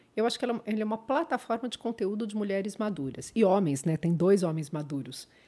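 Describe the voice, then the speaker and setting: A dark, mellow voice at a fairly quick pace with hardly any pauses and very wide pitch swings, on a very clean recording with a silent background. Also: woman, medium pitch for a woman. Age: 50s. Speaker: former judge and social media creator. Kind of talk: casual interview chat.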